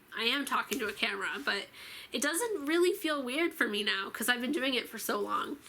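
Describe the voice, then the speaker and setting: A woman talks at a very fast pace. Her voice is raised and projected. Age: 20s. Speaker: YouTuber. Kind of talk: casual vlog talk to camera. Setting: filming alone to camera. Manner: casual with many fillers.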